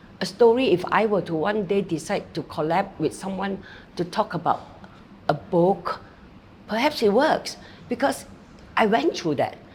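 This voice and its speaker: A woman with a medium-pitched voice and lively intonation speaks at a moderate pace, leaving long, frequent pauses, with noticeable background noise. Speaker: motivational speaker. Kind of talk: interview.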